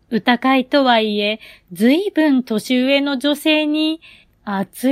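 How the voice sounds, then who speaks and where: Very slowly and with lively intonation, a woman speaks at a high pitch in a very clean recording with a silent background and a dry, close sound without echo. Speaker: comedian and poetry reader. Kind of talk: scripted narration. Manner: calm, quiet bedtime delivery.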